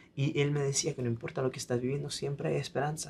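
A somewhat breathy man speaks with ordinary pitch variation over light background noise. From Italy. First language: Italian (speaking Spanish). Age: 20s. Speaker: singer-songwriter; guest. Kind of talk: interview; interview answer. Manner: halting. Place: studio.

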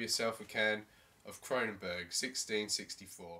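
This man speaks with an Australian accent and a bright, sharp tone. His pitch varies in an ordinary way. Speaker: beer review vlogger. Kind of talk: comedic review monologue. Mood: wry, comedic. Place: home room. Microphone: webcam.

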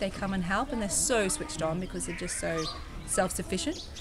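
There is noticeable background noise. A woman speaks at a medium pitch. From Australia, Sydney. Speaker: volunteer. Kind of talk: casual interview testimony. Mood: warm, enthusiastic. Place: garden. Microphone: phone near.

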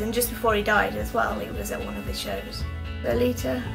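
Clear music plays behind a woman speaking at a moderate pace. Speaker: film discussion host. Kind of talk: casual talk to camera. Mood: relaxed, chatty. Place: home room. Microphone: webcam.

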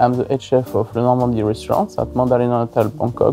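A man's very fast, lively-intoned speech, with faint music in the background and a dry sound with no echo. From Savoie, French Alps, France. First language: French. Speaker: head chef. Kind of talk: interview answer. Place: hall.

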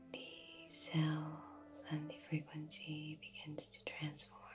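A woman talks at a very slow pace over music in the background. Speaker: reiki practitioner. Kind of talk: ASMR reiki healing session for sleep. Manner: gentle, soft-spoken.

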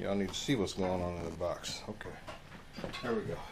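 A man's low voice at a fairly quick pace, with ordinary pitch variation and audible room echo.

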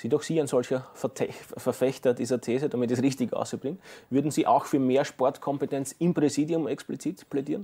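A man talks at a fairly quick pace in a fairly high voice with a dark, mellow tone. His intonation is fairly even, and the background is quiet. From Austria. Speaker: sports TV presenter; TV sports host. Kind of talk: studio interview. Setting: studio. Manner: formal, eloquent. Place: studio. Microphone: lapel.

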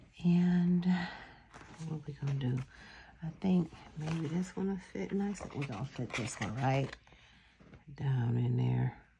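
Against noticeable background noise, a woman with a very deep, low pitch uses lively intonation and leaves long, frequent pauses. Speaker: planner vlogger. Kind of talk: craft tutorial. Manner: casual, halting with fillers.

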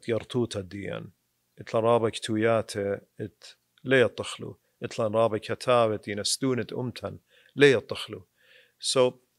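A man's flat, monotone delivery at a fairly slow pace and medium pitch, dry with no echo, over a quiet background. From Iraq, Kirkuk; Iraq. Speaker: attorney. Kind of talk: casual interview. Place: studio. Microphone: studio mic.

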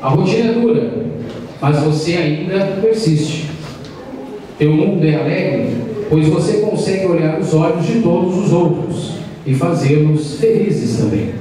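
A man with a high voice speaks at a fairly slow pace with long, frequent pauses, ordinary pitch variation and very even loudness, in strong room echo with light background noise. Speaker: speaker. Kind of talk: formal speech read aloud. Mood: warm, solemn tribute. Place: hall.

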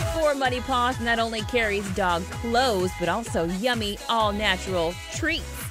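Over music in the background, a woman talks at a moderate pace with hardly any pauses and very even loudness. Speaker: TV reporter and host. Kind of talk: TV story voiceover narration.

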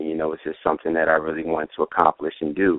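The speaker has an American accent. The sound is dry with no echo, and the background is quiet. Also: man. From New York. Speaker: music producer. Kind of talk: interview. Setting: phone call. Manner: halting, many fillers. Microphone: phone line.

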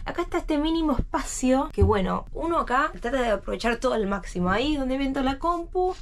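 A woman's high voice with very wide pitch swings at a fairly quick pace, over noticeable background noise. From Argentina. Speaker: cruise ship crew member and vlogger; vlogger. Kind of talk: video tour vlog. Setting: ship cabin. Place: home room. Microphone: phone near.

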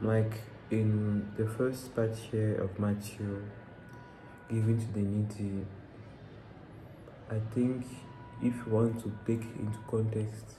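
At a very slow pace, the speech comes in a flat monotone broken by long, frequent pauses, over noticeable background noise. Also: man, fairly low pitch for a man. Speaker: bible reader. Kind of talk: casual talk to camera, personal interpretation. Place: home room. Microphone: phone near.

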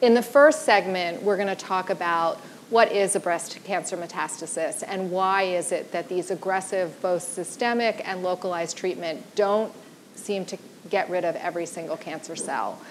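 A woman at a moderate pace with ordinary pitch variation over light background noise. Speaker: panel moderator. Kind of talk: event introduction. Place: stage. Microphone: lapel.

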